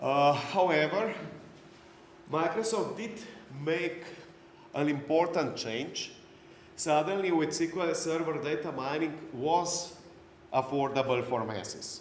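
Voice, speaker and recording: With a non-native accent, a man with a fairly high pitch speaks at a fairly slow pace with long, frequent pauses, over noticeable background noise and audible room echo. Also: ordinary pitch variation. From Slovenia. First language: Slovenian. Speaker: conference speaker, IT trainer. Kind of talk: lecture. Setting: stage with audience.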